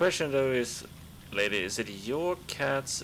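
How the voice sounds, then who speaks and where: At a very slow pace, a man talks in a Swedish accent. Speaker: gaming streamer. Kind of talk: let's play commentary. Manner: casual, chatty.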